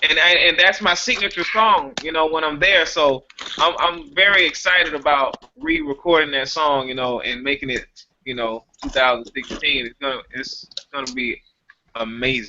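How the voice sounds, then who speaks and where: At a moderate pace, the speaker talks with an American accent and ordinary pitch variation. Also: man, fairly high pitch for a man. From US South, Georgia (Macon). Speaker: R&B singer. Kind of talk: casual chat.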